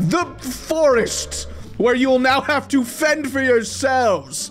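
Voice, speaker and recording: With music in the background, a man speaks at a very slow pace in an extremely high pitch. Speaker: gaming video host. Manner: energetic, excited.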